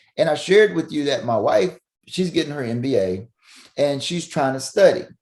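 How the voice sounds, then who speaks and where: A man with a Southern US accent, fairly high in pitch, at a moderate pace with lively intonation. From Mississippi, US South. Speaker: family physician. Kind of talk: podcast interview. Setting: remote call from home upstairs room. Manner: loud; animated.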